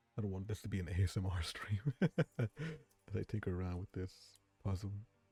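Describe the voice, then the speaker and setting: Soft-spoken and somewhat breathy, the voice has a dark, mellow tone and ordinary pitch variation, with a dry, close sound with no echo on a very clean recording with a silent background. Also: man, fairly low pitch for a man. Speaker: streamer. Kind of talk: casual chat. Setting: live stream.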